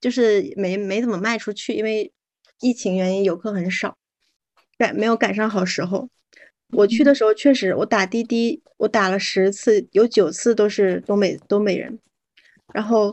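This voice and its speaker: A woman with a normal speaking voice talks at a moderate pace and fairly high pitch, her loudness swinging widely. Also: ordinary pitch variation. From Northeast China. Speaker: podcast guest. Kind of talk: casual chat.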